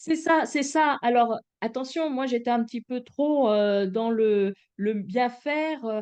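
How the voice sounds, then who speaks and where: Very slow in pace, a woman speaks at a high pitch with ordinary pitch variation. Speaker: voice coach and therapist. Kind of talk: podcast interview.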